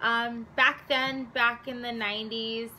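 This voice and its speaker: In a Southwest US accent, the speaker talks at a fairly slow pace with a bright, sharp tone and monotone, flat intonation. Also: woman. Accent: US Southwest American English. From Arizona, US. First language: Spanish. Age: 20s. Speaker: vlogger. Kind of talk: casual talk to camera.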